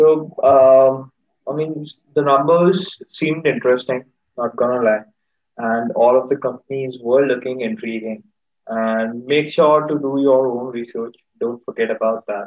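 A man with an Indian accent at a fairly slow pace, against a quiet background. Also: ordinary pitch variation. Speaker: market chat show host. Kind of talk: casual chat. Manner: animated. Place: home room. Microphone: video call.

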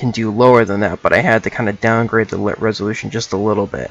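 Fairly low male voice with ordinary pitch variation and a dry, echo-free sound. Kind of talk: tutorial.

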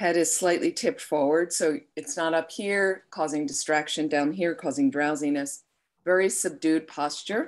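In a quiet setting, a woman with a very deep, low voice speaks with ordinary pitch variation. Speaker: meditation teacher. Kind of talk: guided meditation. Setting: online live stream. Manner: slow, soothing, calm. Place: home room. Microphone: webcam.

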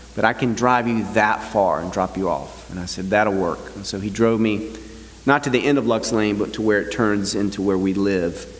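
With a plain, everyday voice, a man talks at a moderate pace, his pitch fairly low and its variation ordinary. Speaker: pastor. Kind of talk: sermon. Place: church.

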